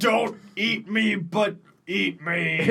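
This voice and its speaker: A man puts on a character voice pitched high. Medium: actual play.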